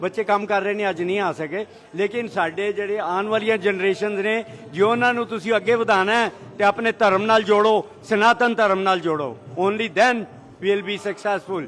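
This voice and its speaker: A high-pitched male voice with fairly even intonation amid noticeable background noise. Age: 70s. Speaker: temple volunteer. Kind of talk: interview.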